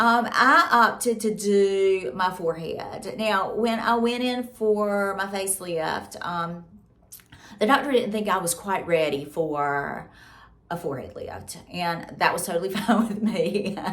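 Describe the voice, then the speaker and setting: With a Southern US accent, a woman speaks fairly slowly at a medium pitch, her intonation lively and audible echo in the room. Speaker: beauty and lifestyle vlogger. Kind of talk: casual vlog talk to camera. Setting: at home.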